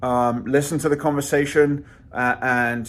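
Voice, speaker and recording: In a London accent, a man speaks with fairly even intonation on a very clean recording with a silent background. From London, England. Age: 30s. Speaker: channel host reviewing side projects. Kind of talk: casual intro and user interview.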